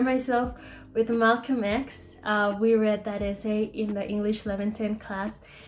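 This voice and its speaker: Using fairly even intonation, a woman with a Spanish accent speaks at a moderate pace. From Mexico, Chihuahua. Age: 20s. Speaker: engineering student. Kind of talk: class presentation video. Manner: hesitant, filler-heavy.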